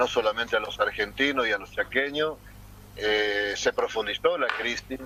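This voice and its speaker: Male speech at a moderate pace, noticeable background noise behind it. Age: 60s. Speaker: mayor and political candidate. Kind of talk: interview. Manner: hesitant, many fillers.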